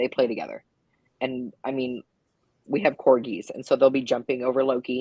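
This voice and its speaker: With a very deep, low pitch, a woman speaks at a moderate pace in a monotone, flat intonation. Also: dry, close sound with no echo. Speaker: live stream host, reptile keeper. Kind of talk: casual chat. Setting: live stream. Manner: loud.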